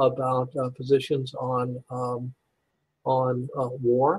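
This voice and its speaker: Speaking with an American accent, a man sounds somewhat breathy at a medium pitch. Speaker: pastor and university administrator. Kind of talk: interview. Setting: call. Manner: halting, many fillers and repeats.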